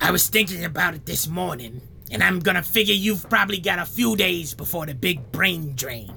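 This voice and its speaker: A put-on character voice at a middle pitch goes at a fairly quick pace over clear background noise. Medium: audio drama. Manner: deadpan, rambling.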